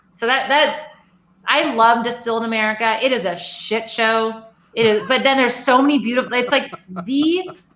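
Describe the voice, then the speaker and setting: A woman's high voice with ordinary pitch variation at a moderate pace, in audible room echo. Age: 40s. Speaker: craft distillery owner. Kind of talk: casual chat. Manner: animated.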